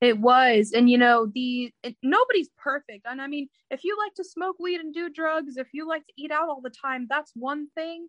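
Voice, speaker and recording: Heard dry and close with no echo, a woman with a high pitch talks at a moderate pace with hardly any pauses, ordinary pitch variation and big swings in loudness. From Indiana, US Midwest. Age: 20s. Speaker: former multi-level marketing member. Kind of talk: interview testimony. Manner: casual, with many fillers.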